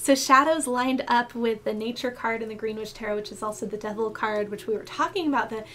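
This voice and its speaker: A woman with a fairly high pitch over noticeable background noise. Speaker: tarot reader. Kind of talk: tarot reading. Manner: fast.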